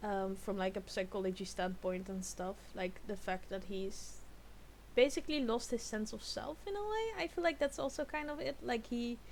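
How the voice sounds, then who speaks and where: The pace stays moderate. A non-native accent comes through. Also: woman. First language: not English. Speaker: YouTube reactor. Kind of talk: reaction video commentary. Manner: halting, many repeated words; animated.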